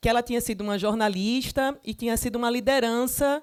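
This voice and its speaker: Speaking in an Alagoas accent, a woman with high pitch talks at a fairly quick pace with fairly even intonation. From Brazil, Alagoas (Maceió). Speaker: journalist and author. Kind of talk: panel talk at a literary festival.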